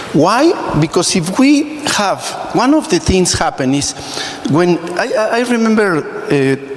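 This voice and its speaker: Speaking with a Spanish accent, a man with a high pitch talks at a fairly slow pace, his pitch swinging very widely while his loudness stays very even, over noticeable background noise. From Mexico. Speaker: emergency physician. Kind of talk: audience question at a medical congress panel.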